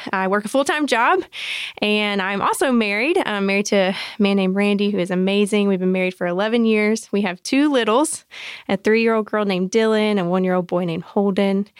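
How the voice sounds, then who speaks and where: A woman in a Southern US accent at a medium pitch, on a very clean recording with a silent background. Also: ordinary pitch variation, fairly quick pace. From US South, South Georgia. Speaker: graphic designer. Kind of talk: casual chat.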